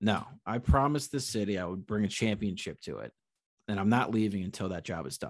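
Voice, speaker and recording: This man has an unremarkable speaking voice, fairly low in pitch, with an American accent. He talks at a fairly quick pace with ordinary pitch variation. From Connecticut. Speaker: sports podcast host. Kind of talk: casual chat.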